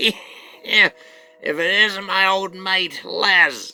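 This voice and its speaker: Over music in the background, a man puts on a character voice that is high-pitched, raspy and wheezy, delivered with monotone, flat intonation. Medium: solo performance. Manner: wheezing, cackling, boastful.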